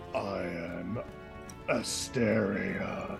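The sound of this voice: Over clear background music, a man uses a rumbling, put-on character voice at a fairly low pitch.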